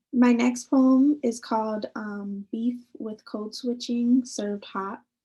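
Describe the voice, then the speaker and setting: A woman's high-pitched, very slow delivery in a dark, mellow tone, with fairly even intonation and big swings in loudness. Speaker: poet. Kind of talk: poetry reading.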